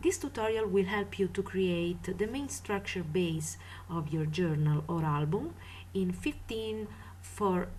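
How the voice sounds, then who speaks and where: Audible echo of the room around a woman's fairly slow delivery. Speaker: craft tutorial maker. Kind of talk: tutorial.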